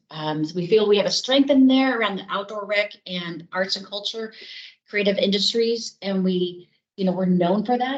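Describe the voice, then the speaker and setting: In an American accent, a woman talks at a moderate pace and medium pitch with ordinary pitch variation, an unremarkable speaking voice. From US East Coast. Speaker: city staff presenter. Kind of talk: presentation at public board meeting.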